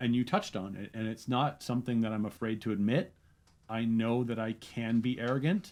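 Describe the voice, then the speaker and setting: A man's medium-pitched voice at a fairly quick pace, an unremarkable speaking voice, against a quiet background. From Canada. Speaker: comedian and content creator. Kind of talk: interview conversation.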